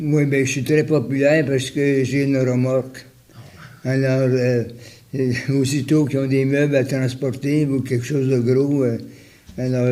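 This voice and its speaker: Long, frequent pauses break up this man's fairly slow speech at a medium pitch. His intonation is monotone and flat, and his loudness very even. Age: 80s+. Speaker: retired volunteer. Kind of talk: interview answer. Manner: hesitant, many fillers.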